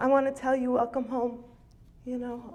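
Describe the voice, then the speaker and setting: A woman speaks in a high voice with an American accent. Her pace is moderate, and background noise is noticeable. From Nevada. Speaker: recovery meeting speaker. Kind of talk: recovery testimony. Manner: halting.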